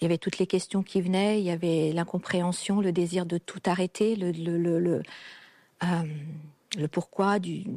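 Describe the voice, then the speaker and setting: A woman speaks in a fairly low, dark and mellow voice with flat, monotone intonation, recorded very cleanly against a silent background with a dry, close sound and no echo. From a communist country. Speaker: guest sharing personal story. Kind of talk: testimony.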